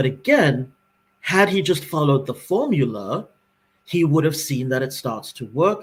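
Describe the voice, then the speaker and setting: Ordinary pitch variation in a somewhat breathy delivery. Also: man. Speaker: podcast co-host. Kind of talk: casual chat. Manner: fast.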